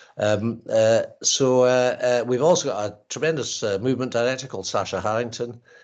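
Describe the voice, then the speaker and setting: In a Highland Scottish accent, a man speaks at a fairly quick pace with hardly any pauses. His pitch is medium and his intonation fairly even. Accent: Highland Scottish twang. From Scottish Highlands, north of Inverness. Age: old. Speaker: actor and playwright. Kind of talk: interview. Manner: halting, many fillers.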